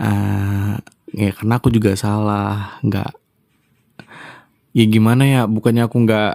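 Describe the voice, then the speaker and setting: Very slowly, a man speaks in a dark, mellow tone at a fairly low pitch with monotone, flat intonation. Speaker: ASMR roleplayer. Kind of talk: casual talk to listeners, apology and channel update. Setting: slightly noisy room away from home. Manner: hesitant, many fillers.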